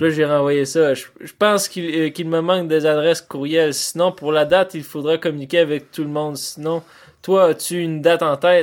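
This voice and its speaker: Speaking in a Quebec accent, a man with a fairly high pitch keeps his intonation monotone and flat. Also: moderate pace. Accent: Québécois French. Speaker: podcast host. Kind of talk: casual chat. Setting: home studio.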